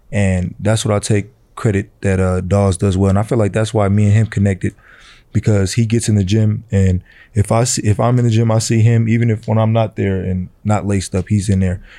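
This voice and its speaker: On a very clean recording with a silent background, a man with an American accent talks fairly quickly in a dark, mellow tone, his pitch fairly low, his intonation monotone and flat, and his loudness very even. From Vallejo, California, US. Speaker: college basketball player. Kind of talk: casual interview.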